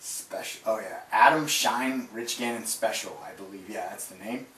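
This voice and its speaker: A man is speaking. Room echo is audible, and background noise is noticeable. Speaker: fantasy football show host. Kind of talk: casual sports recap broadcast. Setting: live webcast. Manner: filler-heavy, relaxed.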